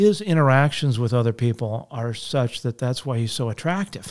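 A man with an American accent has an unremarkable speaking voice at a medium pitch, with ordinary pitch variation and a moderate pace. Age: 40s. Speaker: state senator. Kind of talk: casual interview. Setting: studio.

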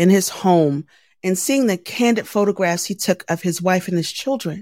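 A woman with an American accent speaks at a medium pitch and moderate pace, with ordinary pitch variation. The recording is very clean with a silent background, and the sound is dry and close with no echo. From Baltimore, Maryland, US. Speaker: journalist, podcaster and military veteran. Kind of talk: interview. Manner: animated.

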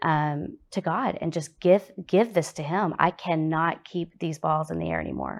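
On a very clean recording with a silent background, a woman speaks at a fairly slow pace with a very deep, low pitch and vocal fry. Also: ordinary pitch variation. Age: 40s. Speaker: recovery group founder and travel agent. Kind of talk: testimony.

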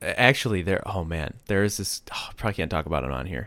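With lively intonation and vocal fry, a man speaks at a fairly quick pace and a very deep, low pitch on a very clean recording with a silent background. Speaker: podcast co-host and programmer. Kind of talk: casual chat. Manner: goofy, animated.

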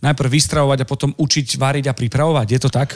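A man's ordinary speaking voice, fairly high in pitch, with fairly even intonation and a fairly quick pace. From eastern Slovakia. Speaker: podcast host. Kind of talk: casual interview.

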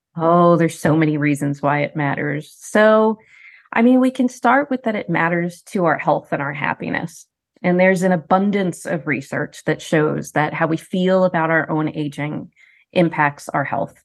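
With a plain, everyday voice, a woman talks at a moderate pace in a fairly low pitch with lively intonation. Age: 50s. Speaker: professor. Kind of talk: interview.

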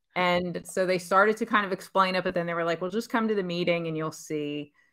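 A woman with an American accent talks fairly quickly in a plain, everyday voice with fairly even intonation. The recording is very clean, with a silent background. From Pennsylvania, US. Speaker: angel investor. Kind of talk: interview.

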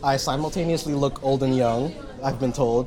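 Amid noticeable background noise and audible room echo, a man with a fairly high pitch speaks at a moderate pace with ordinary pitch variation. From Jersey City, New Jersey. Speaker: musician. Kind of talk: interview. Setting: cafe.

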